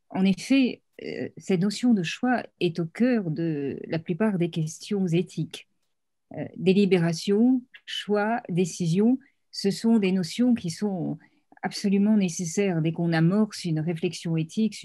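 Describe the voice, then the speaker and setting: A woman's dark, mellow, somewhat breathy voice at a very slow pace, with ordinary pitch variation and a quiet background. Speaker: panelist. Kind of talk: panel talk on ethics. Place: home room. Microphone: video call.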